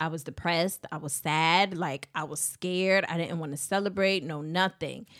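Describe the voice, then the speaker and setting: On a very clean recording with a silent background, a woman with a normal speaking voice talks at a moderate pace with hardly any pauses, fairly even intonation and a fairly low pitch. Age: 30s. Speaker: podcast co-host. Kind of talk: casual chat.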